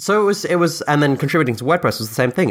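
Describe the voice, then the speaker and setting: A man talks at a very fast pace with lively intonation on a very clean recording with a silent background. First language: Dutch. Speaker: software founder. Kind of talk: interview conversation.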